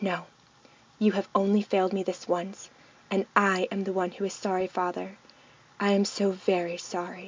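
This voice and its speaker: A woman in a growling, put-on character voice, medium pitch, monotone, flat intonation, moderate pace, long, frequent pauses. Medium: read story. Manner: snarling, intense.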